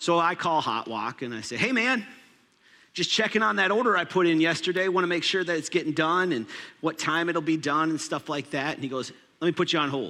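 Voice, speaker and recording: A man with an American accent speaks at a fairly quick pace and high pitch. His tone is bright and sharp, with lively intonation. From Minnesota, US. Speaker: pastor. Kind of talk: sermon.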